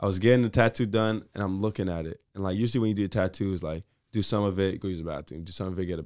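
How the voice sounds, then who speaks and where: Recorded very cleanly against a silent background, a man with a New York accent talks very fast in a very deep, low voice with ordinary pitch variation. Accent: New York City. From New York City (Brooklyn), Jamaican family. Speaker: college basketball player. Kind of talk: casual interview.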